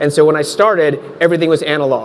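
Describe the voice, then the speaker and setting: With noticeable background noise behind him, a man talks at a fairly quick pace in a high pitch. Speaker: tech consultant, panelist. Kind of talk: panel discussion.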